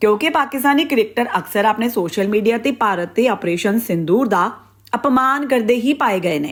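This woman has a fairly high pitch and a plain, everyday voice. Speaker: news anchor. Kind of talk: news reading. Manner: formal, brisk and even-toned.

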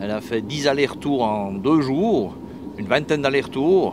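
The man's voice sounds dry with no echo, and noticeable background noise is present. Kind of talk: interview answer. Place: garage. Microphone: handheld.

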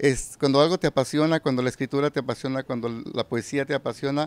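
A man's voice with fairly even intonation and a dry sound with no echo. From Mexico, Michoacán. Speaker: poet and reciter. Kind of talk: casual interview. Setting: live community event. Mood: warm, smiling. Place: hall. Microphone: handheld.

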